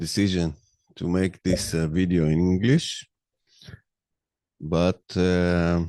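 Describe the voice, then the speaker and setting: In a dark, mellow tone, the voice moves at a very slow pace, with a dry, close sound with no echo and a quiet background. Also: man. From Israel. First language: Hebrew. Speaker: podcaster. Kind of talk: monologue. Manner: halting.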